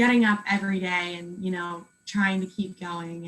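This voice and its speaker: A woman's unremarkable speaking voice, medium-pitched, at a moderate pace. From Pennsylvania, USA. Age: 20s. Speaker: cancer patient. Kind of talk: interview answer. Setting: video call.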